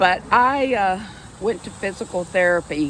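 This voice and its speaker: Over noticeable background noise, a woman speaks at a very slow pace. Her pitch is medium and her intonation lively. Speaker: vlogger and stroke survivor. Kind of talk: casual personal vlog. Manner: halting.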